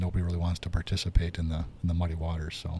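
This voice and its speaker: In a very clean recording with a silent background, a man with a very deep, low pitch and a dark, mellow tone talks at a very fast pace, sounding somewhat breathy. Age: 50s. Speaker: podcast host, realtor. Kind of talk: casual chat.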